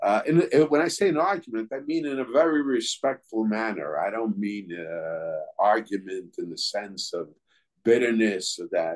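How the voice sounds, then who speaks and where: In an American accent, the speaker moves at a moderate pace with very wide pitch swings. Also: man, medium pitch for a man. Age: 70s. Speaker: rabbi. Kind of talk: lecture. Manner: halting.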